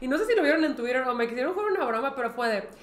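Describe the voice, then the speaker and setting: Audible room echo fills the space as a woman talks at a high pitch. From Mexico. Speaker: podcast co-host. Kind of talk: casual chat. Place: studio.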